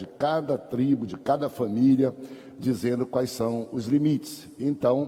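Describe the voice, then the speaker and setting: Against noticeable background noise, a man speaks at medium pitch and a fairly slow pace with ordinary pitch variation. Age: 60s. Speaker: pastor and Sunday school teacher. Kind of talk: Bible class lecture. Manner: conversational.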